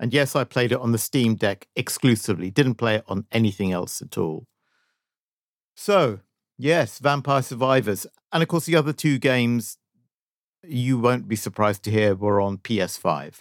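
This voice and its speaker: With an unremarkable speaking voice, a man talks at a moderate pace with lively intonation in a very clean recording with a silent background and a dry, close sound with no echo. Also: medium pitch for a man. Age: 50s. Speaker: video game podcast co-host. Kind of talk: casual chat.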